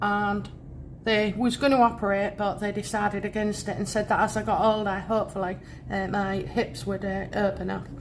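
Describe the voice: A woman's medium-pitched voice at a moderate pace with little pitch movement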